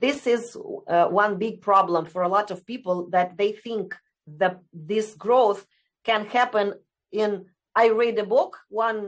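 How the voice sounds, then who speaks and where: Speaking very slowly in a Romanian accent, a woman keeps a medium pitch and fairly even intonation. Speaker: essential oils distributor. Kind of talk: interview. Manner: halting.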